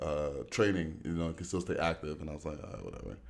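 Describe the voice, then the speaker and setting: A man's very deep, low voice at a very fast pace, with ordinary pitch variation. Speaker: singer and former pro basketball player. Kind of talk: casual chat.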